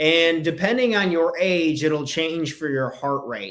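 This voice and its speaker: A man is speaking. His pitch is high. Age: 20s. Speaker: business and life coach. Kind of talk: solo podcast talk. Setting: video recording with screen share. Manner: casual.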